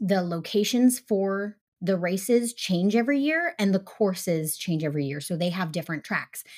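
Very clean and silent in the background, the recording has a woman speaking at medium pitch and a moderate pace, her tone animated and her pitch variation ordinary. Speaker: true crime podcast co-host. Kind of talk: casual storytelling chat.

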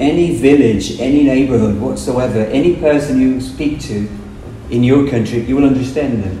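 Over noticeable background noise and audible room echo, a medium-pitched man speaks with a Portuguese accent. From Brazil. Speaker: English teacher. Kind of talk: casual chat.

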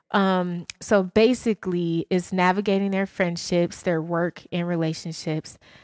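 A woman's fairly low voice in an Atlanta accent, fairly slow with hardly any pauses, monotone and flat, in a dry, close sound with no echo. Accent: Southern US, Atlanta. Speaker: podcast co-host. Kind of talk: casual chat, podcast banter.

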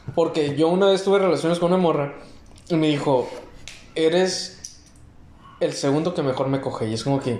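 A man's fairly high voice at a fairly quick pace, ordinary pitch variation, audible room echo and noticeable background noise. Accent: Mexican. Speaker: podcast host. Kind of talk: casual chat.

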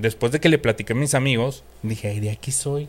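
A man with a Mexican accent, medium in pitch with ordinary variation, at a fairly quick pace. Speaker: podcast co-host. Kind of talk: casual chat.

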